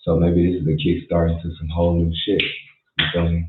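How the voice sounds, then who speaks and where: A man speaks quietly. His pitch is very deep and low. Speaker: livestreamer. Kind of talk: casual livestream talk. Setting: home at night, livestream. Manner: quiet, keeping voice down.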